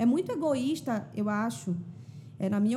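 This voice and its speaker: A woman speaks with lively intonation. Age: 30s. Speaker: singer-songwriter and influencer. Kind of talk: casual chat.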